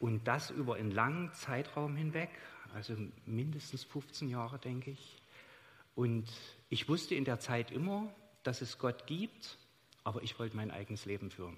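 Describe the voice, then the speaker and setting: Somewhat breathy, a man speaks at a moderate pace and medium pitch with lively intonation and long, frequent pauses. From Saxony, Chemnitz. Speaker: church member sharing experiences. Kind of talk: onstage interview testimony. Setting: church service with congregation.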